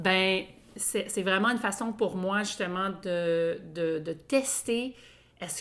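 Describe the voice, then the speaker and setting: With a Quebec accent, a woman speaks at a very slow pace and medium pitch. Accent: Québécois French. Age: 40s. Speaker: podcast co-host. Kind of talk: casual chat. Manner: halting.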